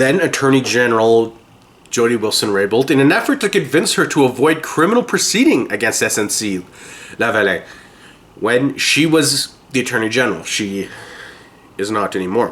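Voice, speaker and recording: Speaking with a Canadian accent, a man talks at a moderate pace and medium pitch, his intonation lively against noticeable background noise. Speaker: political podcast host. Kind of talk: news commentary podcast. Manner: lozenge clacking in mouth.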